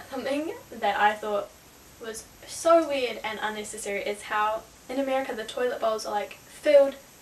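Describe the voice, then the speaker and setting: Against light background noise, a woman with a New Zealand accent speaks with ordinary pitch variation. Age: young. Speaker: travel vlogger. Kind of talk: casual talk to camera. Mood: amused, lighthearted.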